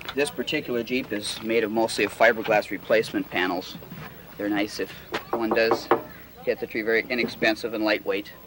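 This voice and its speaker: A man at a fairly quick pace with fairly even intonation, amid noticeable background noise. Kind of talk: tutorial. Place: open country.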